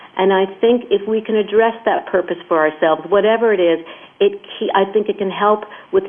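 With fairly even intonation and a medium pitch, a woman talks while noticeable background noise carries on behind her. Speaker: person living with ALS. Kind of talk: interview conversation. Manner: halting, repeating phrases.

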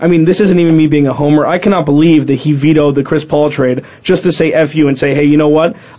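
Noticeable background noise sits behind the speech. The intonation stays fairly even. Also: man. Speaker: sports talk co-host. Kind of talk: casual chat.

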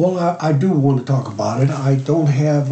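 With noticeable background noise behind him, a man talks at a moderate pace with fairly even intonation. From immigrant to the US in 1956. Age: 70s. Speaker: host's father sharing a story. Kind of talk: personal testimony. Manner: halting, self-correcting.

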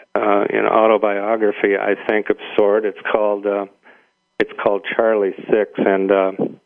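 A man's fairly low voice in a Midwestern accent, at a moderate pace, with monotone, flat intonation. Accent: midwestern American. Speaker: radio talk show guest host. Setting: radio studio.

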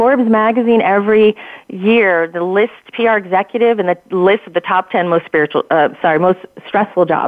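With a normal speaking voice, a woman talks at a moderate pace and medium pitch, with very even loudness and ordinary pitch variation. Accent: American. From New Jersey. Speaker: publicist. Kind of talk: conversational radio interview. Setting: phone call.

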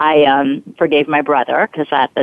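This is a woman speaking with an American accent. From Brooklyn, New York. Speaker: forgiveness coach and performer. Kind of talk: interview.

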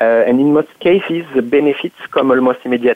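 Amid noticeable background noise, a man with a French accent speaks at a moderate pace and a fairly high pitch. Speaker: insurance automation expert. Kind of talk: panel discussion. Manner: halting, many fillers.

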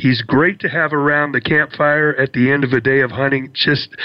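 Here a man uses a plain, everyday voice, pitched fairly high, at a moderate pace. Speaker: radio host. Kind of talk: radio interview.

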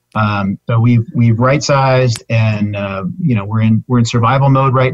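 A man speaks at a moderate pace and a medium pitch, with ordinary pitch variation and a somewhat breathy quality. The recording is dry and close, with no echo. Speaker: business owner. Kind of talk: casual interview chat.

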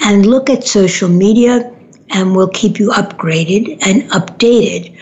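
With an American accent, a woman at a medium pitch talks very slowly with ordinary pitch variation, over noticeable background noise. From New York City, Manhattan. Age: 70s. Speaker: radio host and relationship therapist. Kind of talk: casual monologue on a talk radio show. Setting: studio.

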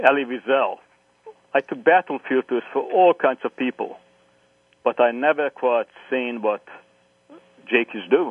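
A man with a Hungarian accent speaks at a fairly slow pace and a medium pitch, with ordinary pitch variation. He takes long, frequent pauses. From Hungary. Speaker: historian, professor. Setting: phone call.

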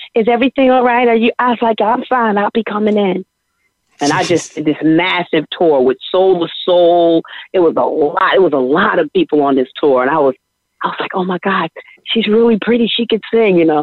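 Lively intonation at a fairly quick pace. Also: woman, medium pitch for a woman. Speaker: singer. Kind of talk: casual interview.

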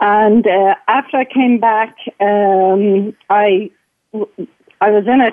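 In an Irish accent, a woman speaks at a medium pitch with fairly even intonation. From Ireland. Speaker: caller. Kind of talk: casual chat. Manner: halting.

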